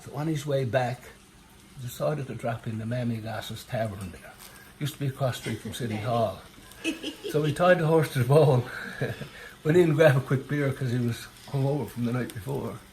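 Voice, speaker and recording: With a Newfoundland accent, the speaker moves at a fairly quick pace yet takes long, frequent pauses, with ordinary pitch variation and big swings in loudness. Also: man, medium pitch for a man. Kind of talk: storytelling, joke telling. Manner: casual, hesitant.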